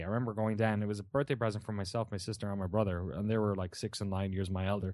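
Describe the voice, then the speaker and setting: Talking at a very fast pace, a man speaks with a southeastern Irish accent. His pitch is fairly low, and the background is quiet. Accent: southeast Irish. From Ireland, Waterford (southeast). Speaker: video game journalist and show host. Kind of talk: casual chat. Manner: animated.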